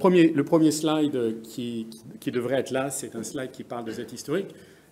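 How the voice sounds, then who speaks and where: A man speaks fairly slowly, his pitch rising and falling in an ordinary way, with audible echo from the room. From France. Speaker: business executive, conference speaker. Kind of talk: conference presentation. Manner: halting, many hesitations.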